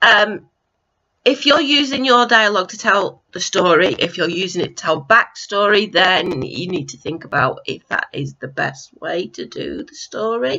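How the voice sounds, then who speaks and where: Vocal fry runs through this woman's medium-pitched voice. She keeps a moderate pace, with very wide pitch swings and big swings in loudness. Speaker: book reviewer. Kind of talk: casual review vlog. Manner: hesitant, many fillers.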